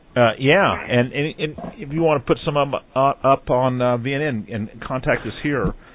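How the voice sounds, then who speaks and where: This man's voice is fairly high in pitch, with ordinary pitch variation. He keeps a moderate pace with hardly any pauses. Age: 40s. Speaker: radio talk show host. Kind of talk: live radio interview. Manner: halting, many fillers and repeats.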